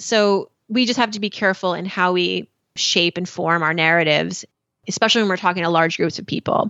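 Speaking with a General American accent in a normal speaking voice, a woman moves at a fairly quick pace with medium pitch and fairly even intonation. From US, Iranian American family. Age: 40s. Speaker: personal finance journalist and podcast host. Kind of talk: podcast interview.

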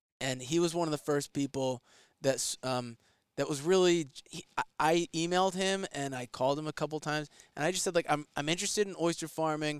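On a very clean recording with a silent background and a dry, close sound with no echo, a man with an American accent speaks fairly quickly at a fairly high pitch, his intonation fairly even but his loudness swinging widely. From Westchester, New York. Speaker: oyster farmer. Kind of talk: casual interview chat. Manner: halting, many false starts and fillers.

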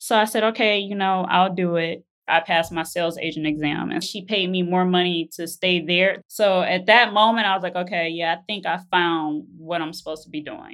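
A woman has an ordinary speaking voice at a medium pitch with fairly even intonation. She keeps a moderate pace with hardly any pauses. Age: 30s. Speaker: real estate agent sharing her money story. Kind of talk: personal testimony interview.

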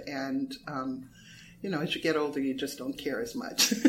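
A woman speaks in an American accent with a very deep, low pitch and lively intonation. Audible room echo is present. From US West Coast, Los Angeles. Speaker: playwright and former dancer. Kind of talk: interview conversation. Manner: hesitant, many fillers.

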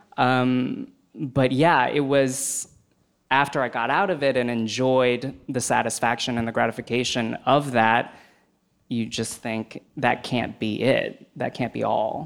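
An ordinary speaking voice from a man with an American accent, medium in pitch, fairly slow in pace, with fairly even intonation, on a very clean recording with a silent background. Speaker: film website editor. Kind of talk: live panel discussion.

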